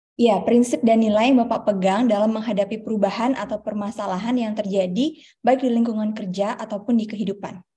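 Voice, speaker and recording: Talking very fast, a woman keeps her fairly high voice on a fairly even line. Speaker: webinar moderator. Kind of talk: formal moderation. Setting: video call. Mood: cheerful, smiling. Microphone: video call.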